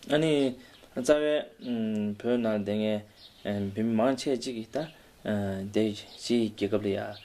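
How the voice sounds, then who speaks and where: A man's fairly low voice with a dark, mellow tone and a Tibetan accent at a fairly slow pace. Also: ordinary pitch variation. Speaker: state oracle, Tibetan monk. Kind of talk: interview answers through interpreter. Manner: halting.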